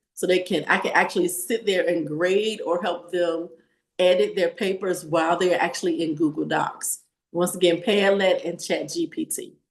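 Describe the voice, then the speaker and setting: Speech moves at a moderate pace. It carries a Southern US accent. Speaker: teacher. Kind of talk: webinar presentation.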